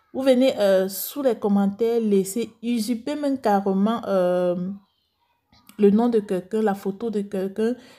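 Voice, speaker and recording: A woman with a Cameroonian accent speaks at a fairly slow pace with fairly even intonation and a dark, mellow tone. The recording is very clean, with a silent background. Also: medium pitch for a woman. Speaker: beauty youtuber, cosmetics seller. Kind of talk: vlog talk to viewers. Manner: calm, measured.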